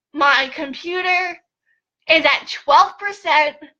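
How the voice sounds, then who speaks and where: A woman uses a raised, projected voice at an extremely high pitch, speaking at a very slow pace. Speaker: online business coach. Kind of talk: live stream tutorial. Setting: at home, Facebook live video. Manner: animated.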